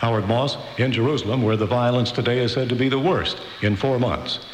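A man at medium pitch talks at a very fast pace. Noticeable background noise can be heard. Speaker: radio news anchor. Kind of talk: news reading. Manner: formal, steady, even.

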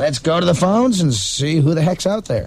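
Noticeable noise fills the background. Over it, a man speaks at a moderate pace. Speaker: radio host. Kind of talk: casual radio banter. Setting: radio studio broadcast. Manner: animated, joking.

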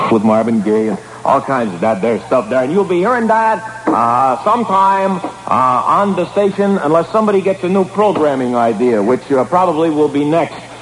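A man speaks at a fairly quick pace with very wide pitch swings. Noticeable background noise runs behind him. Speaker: radio disc jockey. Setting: radio studio broadcast, archived air check.

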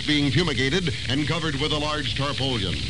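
Very fast speech from a fairly high-pitched man with an American accent, over noticeable background noise. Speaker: newsreader. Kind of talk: radio news reading, scripted bulletin. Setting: radio broadcast. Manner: formal, brisk, authoritative newscaster delivery.

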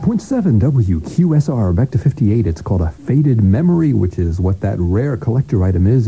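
The voice has an upbeat tone with very wide pitch swings. Noticeable background noise runs underneath. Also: man. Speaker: radio host. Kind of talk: oldies radio show host patter, intro and back-announcing records. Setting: studio.

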